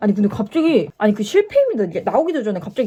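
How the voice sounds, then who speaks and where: A woman speaks in an animated tone at a fairly high pitch. Her pitch swings very widely. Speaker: YouTuber storyteller. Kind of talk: casual storytime while doing makeup.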